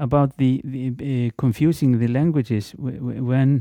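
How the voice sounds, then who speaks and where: With an Icelandic accent, a man speaks at medium pitch in a dark, mellow tone with fairly even intonation. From Iceland, Reykjavík. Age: 50s. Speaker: guest speaker, language informant. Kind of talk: casual interview. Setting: office. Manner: halting, many repetitions.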